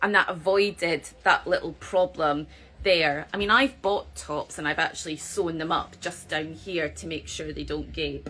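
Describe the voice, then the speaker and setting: At a moderate pace, a woman in a Scottish accent talks with big swings in loudness. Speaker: yarn shop owner, knitting host. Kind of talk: live stream chat about knitting patterns. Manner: casual, chatty with fillers.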